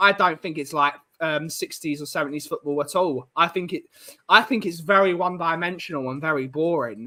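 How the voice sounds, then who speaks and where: At a fairly quick pace, a man with an Essex accent speaks at a fairly high pitch, his tone bright and sharp, with ordinary pitch variation. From southeast England.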